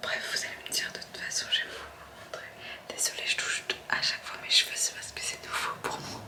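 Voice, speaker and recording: A woman whispers at a fairly quick pace, with big swings in loudness. Noticeable background noise is present. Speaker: vlogger. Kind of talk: casual vlog talk. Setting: at home at night. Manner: soft-spoken.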